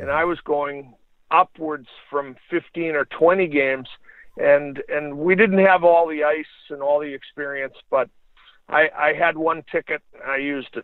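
A man with an American accent speaks in a plain, everyday voice. His pitch is fairly high, his pace fairly slow and his intonation fairly even. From United States. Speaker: retired hockey referee and former player. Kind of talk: interview.

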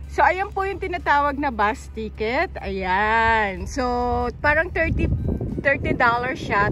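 A woman speaks at a fairly slow pace. Loud background noise fills the recording. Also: dry sound with no echo. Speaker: vlogger. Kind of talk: casual vlog chat. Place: street. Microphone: phone near.

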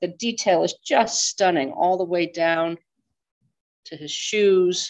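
Intonation stays fairly even as the woman talks over a quiet background. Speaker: auction house department head and event host; auction house department head, event host. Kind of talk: webinar introduction and Q&A moderation. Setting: video call. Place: hall. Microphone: headset.

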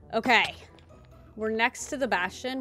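A woman talks at a fairly slow pace. The sound is dry with no echo, and faint music plays in the background. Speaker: gaming video creator. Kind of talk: casual gameplay commentary. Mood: playful, a little nervous.

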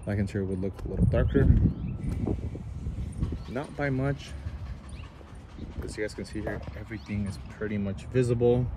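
Amid noticeable background noise, a man talks at a moderate pace with big swings in loudness and long, frequent pauses, in a dry sound with no echo. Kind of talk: casual product walkaround commentary. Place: street. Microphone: phone near.

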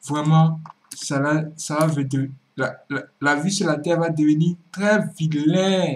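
This man has a fairly high pitch and talks at a very slow pace. His intonation stays fairly even. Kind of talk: commentary talk to camera.

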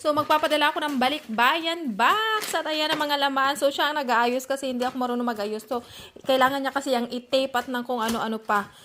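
Through noticeable background noise, a woman projects her high, raised voice at a moderate pace with ordinary pitch variation. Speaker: vlogger. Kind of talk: casual vlog talk. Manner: animated.

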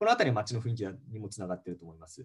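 A somewhat breathy man against a quiet background. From Japan. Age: 30s. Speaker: MBA student, former securities salesman. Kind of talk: casual interview, explaining. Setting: video call. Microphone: video call.

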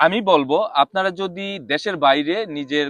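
Here a man is talking, his pitch moving an ordinary amount. There is no echo, and the sound is dry and close. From Bangladesh. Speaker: expatriate businessman. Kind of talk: interview.

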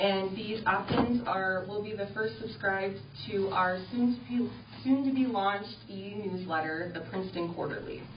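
Amid noticeable background noise and audible room echo, a woman speaks fairly slowly at medium pitch with lively intonation. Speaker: city tourism director. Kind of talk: report to city council. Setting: city council meeting.

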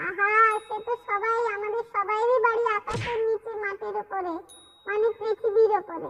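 A cartoonish character voice at extremely high pitch moves at a moderate pace.

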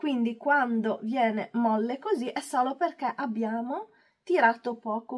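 The tone is calm, and the speech moves at a very slow pace. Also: woman. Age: 40s. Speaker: beauty and hair youtuber. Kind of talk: tutorial. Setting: at home.

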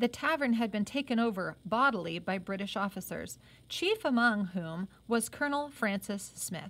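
The delivery has lively intonation at a moderate pace. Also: woman. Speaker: reader of a novel, teacher-like. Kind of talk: reading aloud a novel with comments. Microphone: phone near.

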